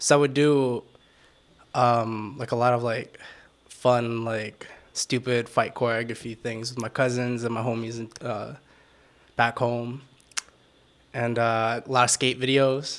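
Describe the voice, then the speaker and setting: A man at medium pitch, fairly slow in pace, with monotone, flat intonation and long, frequent pauses. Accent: American. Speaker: photographer and videographer. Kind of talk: casual chat. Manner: soft-spoken, mellow.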